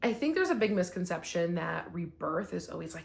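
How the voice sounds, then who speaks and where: This woman has a fairly low pitch. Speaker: spiritual wellness vlogger. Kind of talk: casual spiritual talk to camera. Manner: fast when excited; casual, many fillers.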